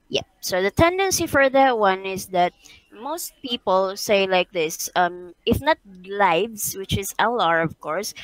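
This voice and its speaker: Speaking very slowly with lively intonation, a woman with an American accent is recorded with a dry, close sound and no echo. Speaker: online English teacher. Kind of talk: tutorial. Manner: patient, encouraging.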